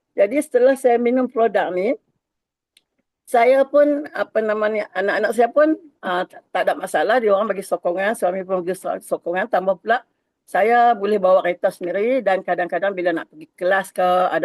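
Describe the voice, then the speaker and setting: In a normal speaking voice, a woman talks at a moderate pace and medium pitch with lively intonation, the sound dry and close with no echo. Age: 60s. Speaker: network marketing agent. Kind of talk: testimony. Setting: video call.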